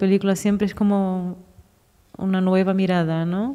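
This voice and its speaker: A woman's voice at medium pitch, dark and mellow in tone, monotone and flat in intonation, at a moderate pace. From Brazil. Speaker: filmmaker. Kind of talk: post-screening film talk. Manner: hesitant, searching for words.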